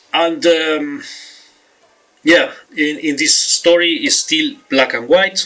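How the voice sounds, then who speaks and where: A man's high voice in a Spanish accent, very slow with long, frequent pauses and ordinary pitch variation. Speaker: author and film reviewer. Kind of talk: talk to camera about film history. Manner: halting, many fillers.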